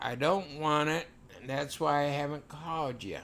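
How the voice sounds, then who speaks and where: This man has an unremarkable speaking voice with an American accent. His pitch is fairly high and his pace moderate. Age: 60s. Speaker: live streamer. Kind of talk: casual chat.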